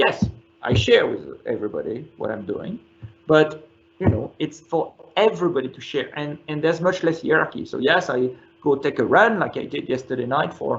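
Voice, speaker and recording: A moderate pace and lively intonation in a French accent. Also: man. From France. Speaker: company chief executive. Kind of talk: interview.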